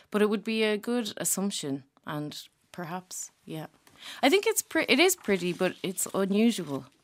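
With an Irish accent, a woman speaks at medium pitch and a moderate pace, her intonation lively and her loudness swinging widely. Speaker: comedian. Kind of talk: casual chat.

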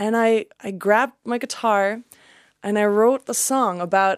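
Her pitch lands in the medium range, and her intonation stays fairly even. The background is silent in this very clean recording. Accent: German. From Germany. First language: German. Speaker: country singer. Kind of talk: casual chat.

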